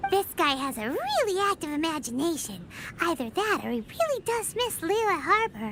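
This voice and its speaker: A put-on character voice with extremely high pitch and very wide pitch swings moves at a moderate pace against clear background noise. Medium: video game. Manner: blunt, impatient.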